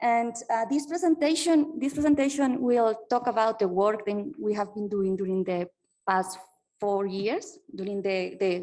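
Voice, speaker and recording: A woman speaks at a fairly slow pace with a Spanish accent and a fairly high pitch. Her tone is dark and mellow, and her intonation is lively. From Colombia. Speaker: PhD researcher. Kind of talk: conference keynote talk. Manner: halting, many fillers.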